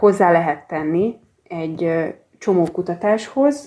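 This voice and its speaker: Speaking at a very slow pace, a woman uses lively intonation in a dark, mellow tone. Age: 40s. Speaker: archivist and genealogist. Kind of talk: interview.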